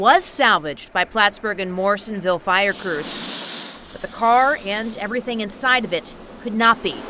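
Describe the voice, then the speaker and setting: Over noticeable background noise, a woman with a fairly high pitch talks at a moderate pace, showing ordinary pitch variation and big swings in loudness. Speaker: TV news anchor and reporter. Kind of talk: TV news package narration.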